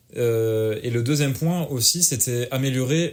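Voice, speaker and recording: This man's voice sits at medium pitch with ordinary pitch variation. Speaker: podcast co-host and streamer. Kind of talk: casual chat. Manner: fast; poor articulation.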